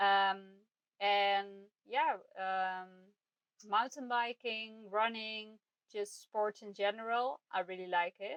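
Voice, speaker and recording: Speaking very slowly with a non-native accent, a woman uses a medium pitch and fairly even intonation, leaving long, frequent pauses. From Netherlands. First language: Dutch. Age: 30s. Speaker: podcast host. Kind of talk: casual monologue. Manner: hesitant, many fillers.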